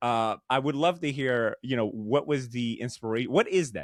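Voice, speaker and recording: A man's medium-pitched, unremarkable speaking voice with ordinary pitch variation. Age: 30s. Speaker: podcast host. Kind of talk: casual interview chat. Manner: casual, expressive.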